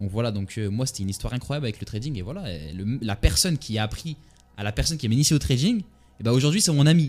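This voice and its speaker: Music plays in the background as a man speaks very fast at a medium pitch, his voice swinging very widely in pitch. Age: 20s. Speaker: trader and entrepreneur vlogger. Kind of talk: casual monologue to camera. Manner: hesitant, many fillers.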